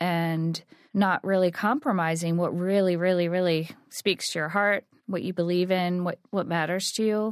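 A woman with a normal speaking voice talks fairly slowly at a fairly low pitch. The sound is dry and close with no echo, on a very clean recording with a silent background. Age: 40s. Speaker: artist and studio founder. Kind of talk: interview.

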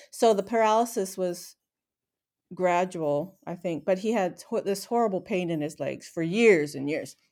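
Ordinary pitch variation comes through on a very clean recording where the background is silent. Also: woman, medium pitch for a woman, moderate pace. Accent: Pacific Northwest. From Seattle area, Washington. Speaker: retired aircraft flight test worker. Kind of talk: casual interview, personal life story.

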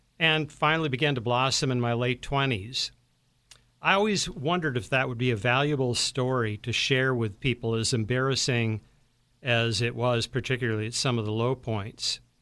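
This man's tone is bright and sharp. His recording is very clean, the background silent. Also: medium pitch for a man, ordinary pitch variation, moderate pace. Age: 60s. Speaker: magazine publisher and author. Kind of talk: radio interview. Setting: studio.

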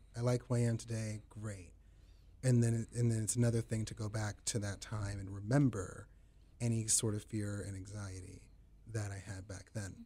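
Somewhat breathy and dark, mellow in tone, a man speaks with a fairly low pitch. His pace is moderate and his intonation monotone and flat. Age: 20s. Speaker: son of a veteran. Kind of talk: radio interview. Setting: studio.

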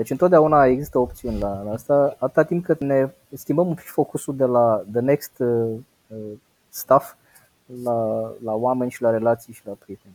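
In a plain, everyday voice, a man talks at a moderate pace with medium pitch, ordinary pitch variation and big swings in loudness, the sound dry and close with no echo. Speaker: financial education trainer. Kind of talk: interview.

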